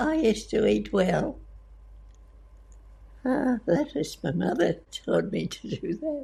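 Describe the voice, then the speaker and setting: Speaking very slowly, the woman leaves long pauses again and again. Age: 80s+. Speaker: centenarian interview guest. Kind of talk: interview answer.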